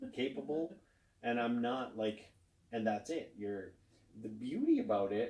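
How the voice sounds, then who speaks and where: This man speaks at a fairly slow pace, his medium pitch moving with lively intonation. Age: 40s. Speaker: podcast co-host. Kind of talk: casual chat.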